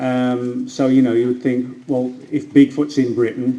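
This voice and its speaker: A man with an American accent, a dark, mellow tone, and medium pitch, at a moderate pace with fairly even intonation and audible room echo. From England, Birmingham. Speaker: cryptozoologist and author. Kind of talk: lecture. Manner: hesitant, with frequent fillers.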